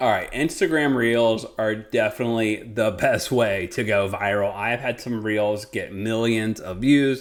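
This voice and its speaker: A man with a normal speaking voice talks at a medium pitch and a fairly slow pace. His intonation is fairly even, and he hardly pauses. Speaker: real estate agent and coach. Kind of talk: tutorial.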